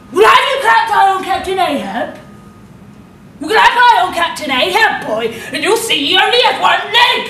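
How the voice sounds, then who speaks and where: A woman puts on a gruff character voice, extremely high-pitched, with very wide pitch swings. She talks at a moderate pace, and there is a slight echo. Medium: stage play. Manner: gruff, old-fashioned.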